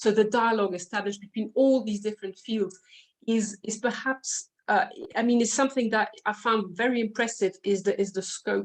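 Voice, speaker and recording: A woman with a French accent speaks at a moderate pace and fairly high pitch in a monotone, flat intonation. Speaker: literature scholar. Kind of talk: academic panel discussion. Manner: halting, many fillers.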